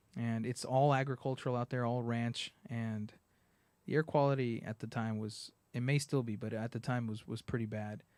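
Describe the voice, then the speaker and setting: A man with an American accent talks at a moderate pace in a medium pitch with fairly even intonation, captured in a very clean recording with a silent background. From San Bernardino, California. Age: 30s. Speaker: city council candidate. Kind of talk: radio interview. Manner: halting.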